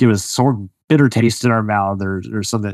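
A man with a plain, everyday voice, fairly low in pitch and fairly quick in pace, in a dry, close sound with no echo against a quiet background. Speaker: podcast host. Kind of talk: interview, conversational.

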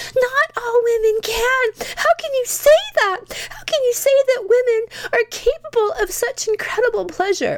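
A whiny, shouting, female-sounding put-on character voice at an extremely high pitch and moderate pace. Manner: screaming, indignant.

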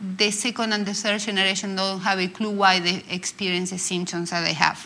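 A woman in a Spanish accent. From Argentina. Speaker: clinical psychologist. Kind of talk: panel discussion. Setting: stage with live audience.

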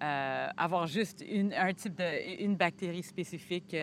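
A woman with a fairly low pitch has an ordinary speaking voice and fairly even intonation. The recording is very clean, with a silent background. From Quebec, Montreal. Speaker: physician and microbiome researcher. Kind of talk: casual scientific conversation. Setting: outdoors in a botanical garden.

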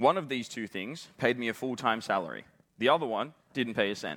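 Very fast speech from a man with an Australian accent and ordinary pitch variation, on a very clean recording with a silent background. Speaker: pastor. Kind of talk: conference talk.

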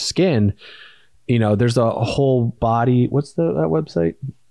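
Recorded dry and close with no echo over a quiet background, a man with an unremarkable speaking voice talks at a moderate pace in a medium pitch with lively intonation. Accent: American. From US Midwest, Indiana. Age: 30s. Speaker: podcast co-host and entrepreneur. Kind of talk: casual chat.

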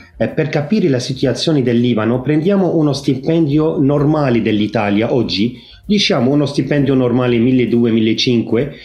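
Speaking with an Arabic accent at medium pitch and a moderate pace, a man keeps a very even loudness and ordinary pitch variation amid audible room echo. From Lebanon. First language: Arabic (speaking Italian). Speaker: Maronite priest and monk. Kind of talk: interview. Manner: halting.

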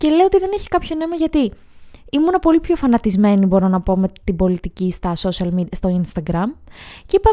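A woman talks at a fairly quick pace, her pitch swinging very widely. The sound is dry and close, with no echo. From northern Greece, Edessa. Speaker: comedian and YouTuber. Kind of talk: casual chat.

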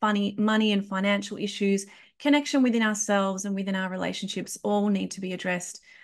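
This woman speaks in an Australian accent at a medium pitch, somewhat breathy and with fairly even intonation, against a quiet background. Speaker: podcast host and kinesiologist. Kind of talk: interview. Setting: remote call.

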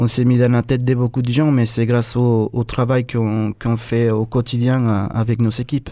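Very slowly, a man with a Spanish accent speaks at a medium pitch in a dark, mellow tone. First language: Spanish (speaking French). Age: 30s. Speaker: chef. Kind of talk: radio interview.

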